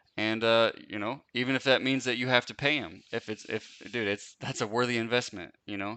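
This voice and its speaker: Speaking at a fairly quick pace, a man with an American accent uses an ordinary speaking voice at medium pitch and fairly even intonation. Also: hardly any pauses. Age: 30s. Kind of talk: live Q&A. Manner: casual, filler-heavy.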